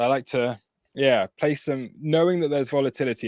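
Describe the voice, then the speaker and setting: In a British accent, a man speaks at a fairly quick pace with ordinary pitch variation, the sound dry and close with no echo. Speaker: crypto trading streamer. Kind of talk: live trading stream chat. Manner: casual, hesitant with fillers.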